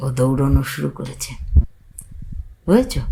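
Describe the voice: Extremely low and marked by vocal fry, a woman's voice has a dark, mellow tone.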